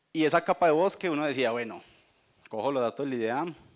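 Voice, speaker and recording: Ordinary pitch variation in a man's fairly quick speech. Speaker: company sustainability representative. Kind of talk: conference talk. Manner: fast.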